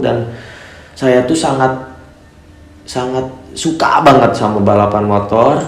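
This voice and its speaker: Against noticeable background noise and audible room echo, a man talks at a fairly slow pace with fairly even intonation. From Cianjur, West Java, Indonesia. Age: 20s. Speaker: motorbike racer and YouTuber. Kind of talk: casual Q&A vlog. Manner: hesitant, many fillers.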